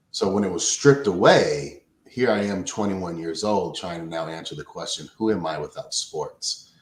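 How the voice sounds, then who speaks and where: A man talks at a moderate pace with hardly any pauses. His loudness swings widely. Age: 40s. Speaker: behavioral scientist and coach. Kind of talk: interview. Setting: remote call.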